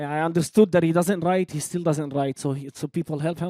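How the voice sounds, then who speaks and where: Very fast and high-pitched, a man speaks with a non-native accent and a dark, mellow tone. His pitch variation is ordinary, and the very clean recording has a silent background and a dry, close sound with no echo. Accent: noticeable non-native accent in English. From Lydda, Palestine. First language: Arabic. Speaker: rapper. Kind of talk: interview conversation. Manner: halting, many repetitions.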